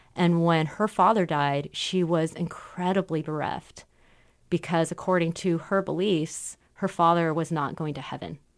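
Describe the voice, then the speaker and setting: A woman with an American accent, fairly low pitch and fairly even intonation, at a fairly slow pace in a quiet background. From Southern California. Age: 30s. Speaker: radio co-host. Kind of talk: interview.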